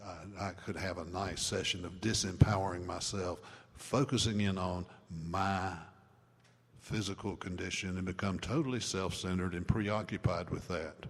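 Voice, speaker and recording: The speaker is a man with a very deep, low pitch. His intonation stays fairly even. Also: moderate pace. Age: 70s. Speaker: recovery mentor and speaker. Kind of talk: talk to a live audience.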